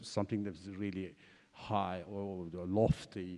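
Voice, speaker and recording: This man speaks with a Kurdish accent. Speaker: exiled writer and translator, panelist. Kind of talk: panel discussion. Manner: halting, many fillers.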